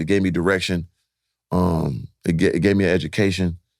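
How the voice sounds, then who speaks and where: Speaking with an American accent, a man uses an animated tone in a very clean recording with a silent background. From San Diego, California. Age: 40s. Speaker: entrepreneur and former basketball player. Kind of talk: podcast interview.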